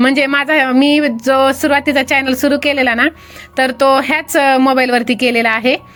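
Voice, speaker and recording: Over music in the background, the voice keeps a monotone, flat intonation at a very even loudness. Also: woman, high pitch for a woman. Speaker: YouTuber making faceless videos. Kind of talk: tutorial.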